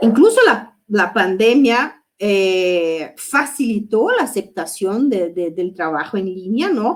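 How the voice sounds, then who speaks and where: Speaking in a Brazilian accent, a woman goes at a very slow pace with hardly any pauses, her fairly high pitch moving in lively intonation. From Brazil, Porto Alegre (southern Brazil). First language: Portuguese (speaking Spanish). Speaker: psychoanalyst. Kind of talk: lecture. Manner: halting, many fillers.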